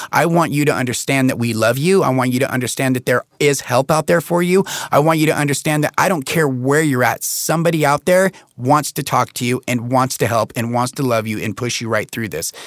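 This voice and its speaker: A man uses an ordinary speaking voice at a medium pitch with ordinary pitch variation. He speaks at a fairly quick pace in a dry, close sound with no echo. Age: 40s. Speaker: podcast host in addiction recovery. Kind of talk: casual chat.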